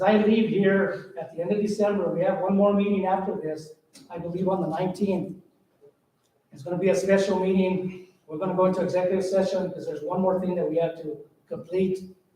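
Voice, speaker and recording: A man talks at a fairly quick pace in a high pitch, with monotone, flat intonation. Loudness swings widely, and there is audible room echo. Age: 60s. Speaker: county commissioner. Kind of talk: farewell speech at public meeting. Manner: halting.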